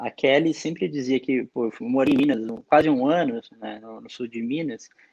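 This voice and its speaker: A man speaks with ordinary pitch variation and big swings in loudness. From Araras, interior of São Paulo. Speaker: beer sommelier, engineer. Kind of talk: interview. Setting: remote recording.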